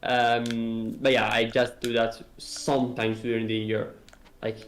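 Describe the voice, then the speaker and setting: Speech comes at a fairly slow pace with monotone, flat intonation. Room echo is audible. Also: man, medium pitch for a man. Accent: non-native. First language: not English. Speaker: indie game developer. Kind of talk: casual interview on a live stream. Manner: halting, many fillers and restarts.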